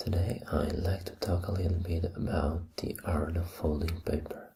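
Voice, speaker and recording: A soft-spoken voice at a moderate pace. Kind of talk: ASMR show-and-tell talk.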